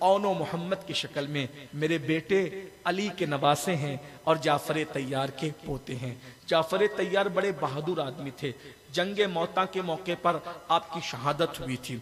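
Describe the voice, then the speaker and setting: A man with an ordinary speaking voice talks at a fairly high pitch, with ordinary pitch variation. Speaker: Islamic scholar delivering a religious sermon (bayan). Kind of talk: religious sermon about Karbala, delivered to a public gathering.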